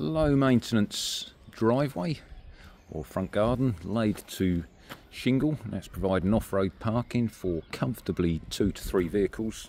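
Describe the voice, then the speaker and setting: With lively intonation, a man talks at a fairly slow pace over light background noise. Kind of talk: property tour commentary. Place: street. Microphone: phone near.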